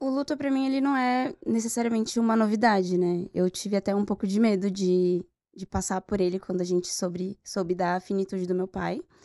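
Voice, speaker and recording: At medium pitch with a dark, mellow tone, a woman talks at a fairly quick pace with hardly any pauses and ordinary pitch variation, her voice dry and close with no echo against a quiet background. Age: 20s. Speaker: journalist. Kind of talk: podcast interview.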